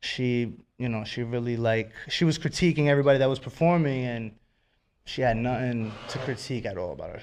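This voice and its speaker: A man with a medium pitch races through his words at a very fast pace. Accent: New York. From Westchester County, New York. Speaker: rapper. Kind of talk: radio interview. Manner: animated.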